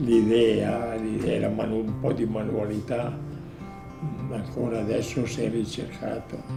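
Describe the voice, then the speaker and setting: A man's medium-pitched voice at a very slow pace, with music in the background. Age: 80s+. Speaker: woodworking craftsman. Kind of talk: interview answer.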